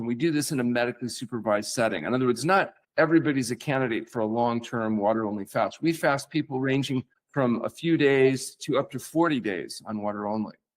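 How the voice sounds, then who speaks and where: A man's plain, everyday voice at a medium pitch and a fairly quick pace, with ordinary pitch variation. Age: 60s. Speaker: physician. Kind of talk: podcast interview.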